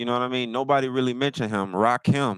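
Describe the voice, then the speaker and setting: Recorded very cleanly with a silent background and dry, close sound with no echo, a man speaks at a medium pitch with ordinary pitch variation. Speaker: livestream host. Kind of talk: casual livestream talk.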